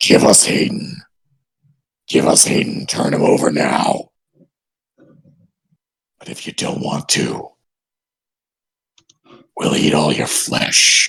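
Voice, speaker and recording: A man puts on a raspy, booming character voice. He talks at a fairly slow pace with long, frequent pauses. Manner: menacing, threatening.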